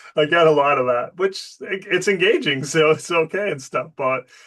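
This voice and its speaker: A man with a Boston accent talks at a moderate pace and fairly high pitch, with ordinary pitch variation. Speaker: business show host and professor. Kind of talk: casual interview.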